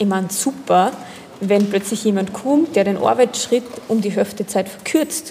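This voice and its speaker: Noticeable background noise sits behind the speaker. She is a woman with a slight Upper Austrian accent. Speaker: generational consultant for companies and apprentices. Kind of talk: casual interview. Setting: coffee house.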